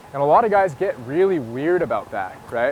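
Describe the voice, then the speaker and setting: Amid noticeable background noise, a man with a fairly high pitch talks at a moderate pace. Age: 20s. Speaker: dating coach. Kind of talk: casual chat. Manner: casual, conversational.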